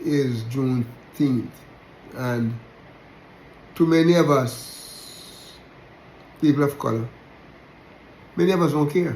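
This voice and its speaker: A man speaks with a Jamaican accent at a fairly high pitch. His pitch varies in an ordinary way, and audible room echo is present. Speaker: religious teacher. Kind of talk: sermon-style talk. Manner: halting, repetitive.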